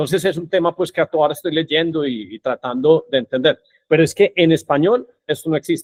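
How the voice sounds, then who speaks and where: Here is a normal speaking voice from a man, fairly high in pitch. He talks fairly quickly with ordinary pitch variation. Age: 50s. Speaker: podcast host. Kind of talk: podcast interview.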